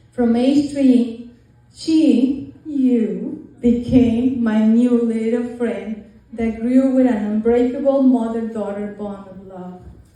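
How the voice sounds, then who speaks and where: The loudness rises and falls sharply over noticeable background noise. Delivery is very slow, with fairly even intonation. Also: woman, high pitch for a woman. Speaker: mother of the bride. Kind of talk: wedding speech.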